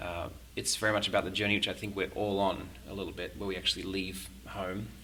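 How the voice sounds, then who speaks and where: Someone with an Australian accent talks at a very fast pace. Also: man, fairly low pitch for a man, ordinary pitch variation. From Sydney, Australia. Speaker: musician and faith community founder. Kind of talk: podcast interview. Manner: halting, many fillers.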